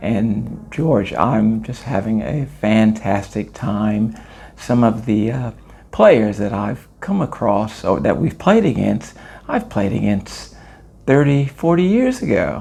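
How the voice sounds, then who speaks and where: A man with a Californian accent speaks at a very slow pace. Noticeable background noise is audible. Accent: American, California. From Los Angeles, California. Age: 60s. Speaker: former professional basketball player. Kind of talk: interview. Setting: on location at a tournament in Italy.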